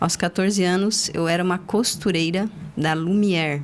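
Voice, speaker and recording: This woman has a plain, everyday voice, medium in pitch, with fairly even intonation. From southern Brazil (Paraná, raised in Joinville, Santa Catarina). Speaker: accountant, firm founder. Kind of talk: interview, life story.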